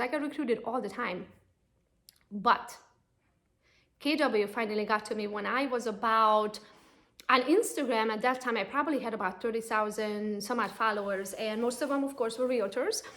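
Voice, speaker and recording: Pitched high, a woman with a Romanian accent speaks at a fairly quick pace. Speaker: real estate agent and coach. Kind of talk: personal pitch to camera. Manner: casual, conversational.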